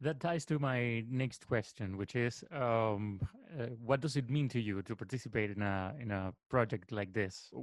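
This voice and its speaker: A man's medium-pitched voice with a Spanish accent, at a moderate pace with ordinary pitch variation. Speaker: radio host. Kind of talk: interview.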